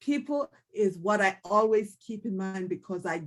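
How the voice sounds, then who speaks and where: With a Jamaican accent, a woman speaks at a medium pitch. Her pace is moderate and her pitch variation ordinary. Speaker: candidate for district office. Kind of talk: panel self-introduction.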